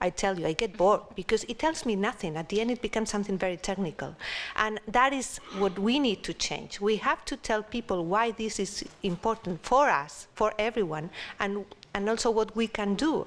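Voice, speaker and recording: Speaking at a fairly quick pace, a woman with a Spanish accent has a fairly high pitch and ordinary pitch variation. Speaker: panel discussion speaker. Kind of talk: panel discussion.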